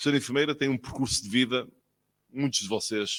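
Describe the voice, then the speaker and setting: Lively intonation at a fairly quick pace. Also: man. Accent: northern Portuguese. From northern Portugal. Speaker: physician, official speaker at ceremony. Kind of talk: ceremonial speech.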